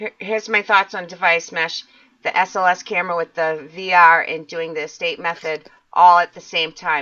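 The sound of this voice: At a moderate pace, a woman with a Massachusetts accent speaks in a fairly low voice with fairly even intonation.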